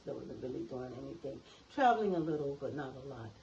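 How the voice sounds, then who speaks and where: An energetic woman speaks with a very deep, low pitch over noticeable background noise. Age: 70s. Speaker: retiree, vegan. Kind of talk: interview answer. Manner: vibrant, energetic.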